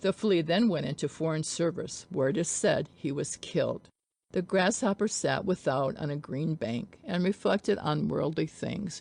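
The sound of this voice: Speaking low for a woman and at a fairly slow pace, she uses ordinary pitch variation, a slightly mellow tone and some vocal fry.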